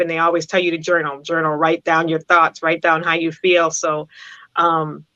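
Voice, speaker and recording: A woman with a Massachusetts accent talks at a fairly quick pace and fairly low pitch, in a dry, close sound with no echo. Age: 50s. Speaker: poet and author. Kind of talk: interview. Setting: live stream interview.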